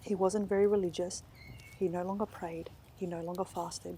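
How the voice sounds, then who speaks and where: Speaking at a moderate pace with an Australian accent, a woman sounds somewhat breathy, with a dark, mellow tone at medium pitch. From Western Sydney, Australia. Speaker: author. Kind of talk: author reading of literary fiction.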